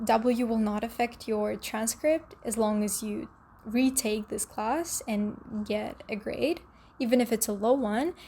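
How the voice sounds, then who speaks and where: Her voice sits fairly high for a woman, somewhat breathy with a dark, mellow tone, on a very clean recording with a silent background. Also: ordinary pitch variation, fairly slow pace. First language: not English (English is third language). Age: young. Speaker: dental hygiene student, vlogger. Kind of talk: casual advice vlog.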